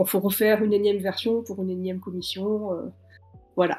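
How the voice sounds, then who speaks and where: On a very clean recording with a silent background, a woman of medium pitch speaks in a dark, mellow tone at a moderate pace with fairly even intonation. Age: 30s. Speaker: novelist and screenwriter. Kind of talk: interview. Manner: frequent hesitations with euh.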